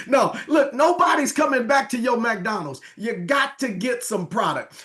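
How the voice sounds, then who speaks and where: Amid noticeable background noise, a man talks loudly in an animated tone at an extremely high pitch with lively intonation. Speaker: business presenter. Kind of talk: sales pitch.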